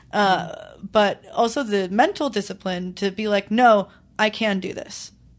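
An unremarkable speaking voice, a woman at medium pitch, fairly even intonation and a fairly slow pace, in a very clean recording with a silent background. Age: 20s. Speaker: musician and music teacher. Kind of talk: casual chat. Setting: studio.

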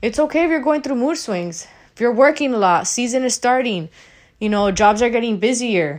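The speaker has an animated tone and talks at a fairly quick pace. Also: woman, high pitch for a woman, lively intonation. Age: 30s. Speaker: podcast host. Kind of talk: casual monologue rant. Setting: solo recording.

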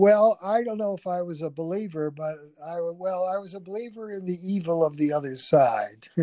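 A man with a Chicago accent, high-pitched, dark and mellow in tone, with ordinary pitch variation at a moderate pace. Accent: Chicago-area American. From US Midwest, Chicago Heights, Illinois. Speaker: historian. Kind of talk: interview. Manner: halting.

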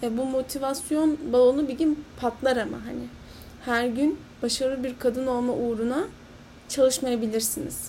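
High pitch from a woman, dark and mellow in tone. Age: 20s. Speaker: podcast host. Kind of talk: solo monologue podcast.

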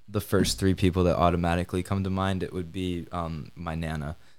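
A man's very deep, low voice stays monotone and flat on a very clean recording with a silent background. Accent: Upper Midwest. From Michigan, Kalamazoo. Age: 20s. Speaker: college student. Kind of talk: casual interview.

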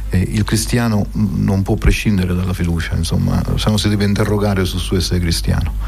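A man talks with hardly any pauses, his voice carrying audible room echo over noticeable background noise. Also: fairly quick pace. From Sicily, Trapani. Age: 60s. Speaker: archbishop. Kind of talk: radio interview. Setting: studio. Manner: halting.

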